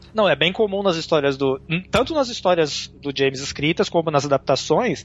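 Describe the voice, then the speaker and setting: A man's pitch swings very widely as he talks at a moderate pace, with noticeable noise in the background. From Brazil. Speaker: blogger and film subtitler. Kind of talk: casual chat. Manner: halting.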